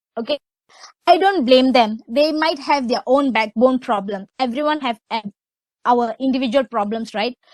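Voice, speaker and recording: Loud and high-pitched, a woman speaks with lively intonation at a fairly slow pace in a dry, close sound with no echo. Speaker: webinar speaker. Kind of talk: webinar talk. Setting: online webinar.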